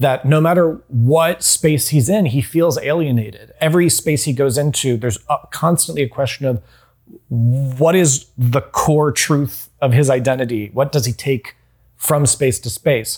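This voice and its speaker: On a very clean recording with a silent background, a man speaks at a fairly slow pace with an American accent. His voice is somewhat breathy and fairly high, with ordinary pitch variation. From US South, North Carolina. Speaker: television writer. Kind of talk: casual interview.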